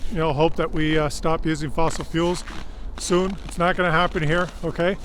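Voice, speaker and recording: A man speaks at a moderate pace in a high pitch, his intonation flat and monotone. Noticeable background noise runs behind him. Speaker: vlogger. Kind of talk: outdoor vlog monologue. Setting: outdoors in extreme cold. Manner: halting, many fillers.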